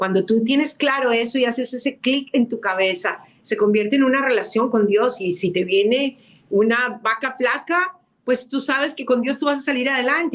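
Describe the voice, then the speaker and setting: A woman talks at a moderate pace with a fairly high pitch. Her intonation is lively. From Colombia. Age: 60s. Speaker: radio producer and author. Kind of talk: testimony. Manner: emphatic.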